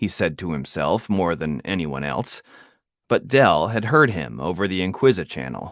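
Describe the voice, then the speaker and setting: Vocal fry runs through speech delivered at a moderate pace, with very wide swings in pitch. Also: man, very deep, low pitch for a man. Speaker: author and audiobook narrator. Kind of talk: audiobook narration. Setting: home studio.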